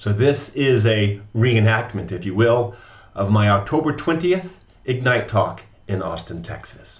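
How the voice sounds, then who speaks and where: A man's somewhat breathy, medium-pitched voice with lively intonation and audible room echo. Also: fairly slow pace. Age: 40s. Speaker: speaker on stuttering. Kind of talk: recorded voice-over of a talk. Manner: fluent, measured; demonstrates stuttering repetitions.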